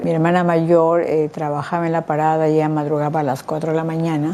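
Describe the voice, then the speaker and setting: Her pitch is fairly low, with a dark, mellow tone. The woman keeps a fairly quick pace. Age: 60s. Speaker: patient with insomnia. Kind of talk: testimony. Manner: halting.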